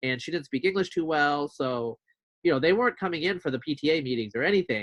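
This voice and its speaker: A man's unremarkable speaking voice, fairly high in pitch, with lively intonation at a fairly quick pace. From US, immigrant childhood then Eastern Oregon. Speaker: podcast host. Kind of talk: interview conversation. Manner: casual, many fillers.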